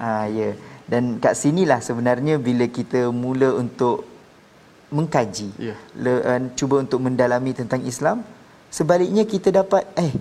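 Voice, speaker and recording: A man with a fairly high pitch and a plain, everyday voice talks at a moderate pace with lively intonation. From Malaysia (born Sabah, raised Peninsular). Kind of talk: testimony.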